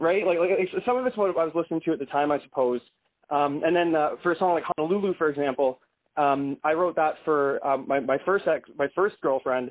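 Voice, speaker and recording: A man's unremarkable speaking voice, fairly high in pitch, at a fairly quick pace with very even loudness. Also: ordinary pitch variation. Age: 30s. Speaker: indie rock musician. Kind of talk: casual interview.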